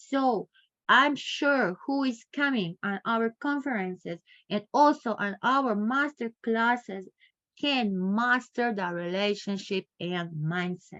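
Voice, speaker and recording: Over a quiet background, a woman speaks very slowly with lively intonation, a fairly high pitch and a bright, sharp tone, in a dry, close sound with no echo. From Croatia. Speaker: professor, lecturer. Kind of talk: online masterclass lecture. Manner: halting, repetitive phrasing.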